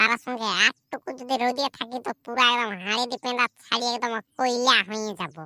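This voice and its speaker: On a very clean recording with a silent background, a female-sounding cartoonish character voice speaks at a fairly high pitch and moderate pace. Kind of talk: comic overacting. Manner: rambling, repetitive.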